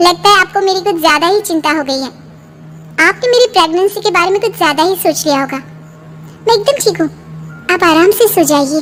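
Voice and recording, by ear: A woman uses a cartoonish character voice at an extremely high pitch and a fairly quick pace, with long, frequent pauses. Background noise is clearly heard.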